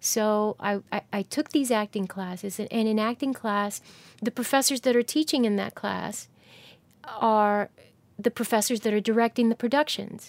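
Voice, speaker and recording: A plain, everyday voice from a woman with an American accent, fairly high in pitch, at a moderate pace with fairly even intonation, in a very clean recording with a silent background and a dry, close sound with no echo. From New Jersey. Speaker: actor. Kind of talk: interview.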